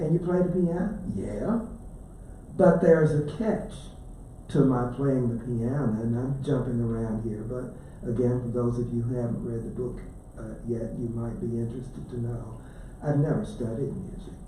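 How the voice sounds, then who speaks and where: With an Appalachian accent, a man speaks at a moderate pace and medium pitch with ordinary pitch variation, amid audible room echo and noticeable background noise. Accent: southern Appalachian American. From US South. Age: 70s. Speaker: author. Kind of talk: book talk to library audience.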